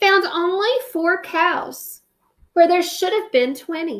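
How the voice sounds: A woman at a slow pace, extremely high-pitched, with a fairly bright tone.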